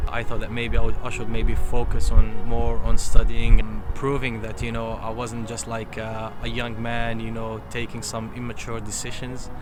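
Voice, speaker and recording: With music in the background and audible room echo, a man talks with hardly any pauses. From Libya (Berber). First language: Tamazight (Berber). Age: 30s. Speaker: interviewee, businessman. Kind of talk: interview. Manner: halting, many fillers and repetitions.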